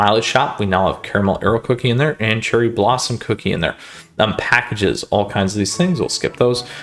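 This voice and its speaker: A man talks at a fairly quick pace. His pitch is medium, with ordinary pitch variation. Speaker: gaming YouTuber. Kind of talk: game update walkthrough. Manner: fast; casual, filler-heavy.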